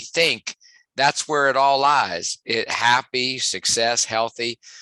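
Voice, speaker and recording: In a West Virginia accent, a man speaks with a bright, sharp tone and ordinary pitch variation, the sound dry and close with no echo. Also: quiet background. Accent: West Virginia twang. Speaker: sports psychologist and motivational speaker. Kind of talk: podcast interview.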